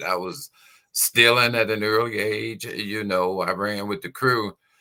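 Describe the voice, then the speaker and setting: This voice has a bright, sharp tone. It moves along at a moderate speed. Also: man. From Chicago, South Side. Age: 70s. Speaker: pastor and prison minister. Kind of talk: testimony.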